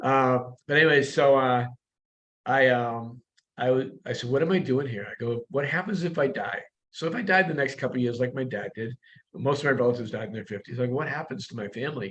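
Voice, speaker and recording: A man talks at a fairly quick pace, at medium pitch with ordinary pitch variation. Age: 60s. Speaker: real estate broker. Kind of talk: interview. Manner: animated.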